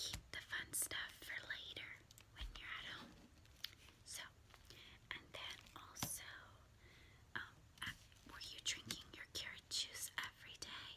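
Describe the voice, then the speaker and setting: A woman whispering at a fairly slow pace, with long, frequent pauses. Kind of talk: role-play monologue to viewer. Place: home room. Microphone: phone near.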